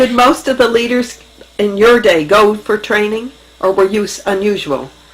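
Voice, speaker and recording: Fairly high female voice at a moderate pace, ordinary pitch variation, noticeable background noise. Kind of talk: interviewer questions.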